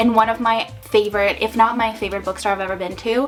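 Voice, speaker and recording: Over music in the background, a woman talks at a medium pitch with ordinary pitch variation. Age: 20s. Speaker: booktuber. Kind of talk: casual vlog chat.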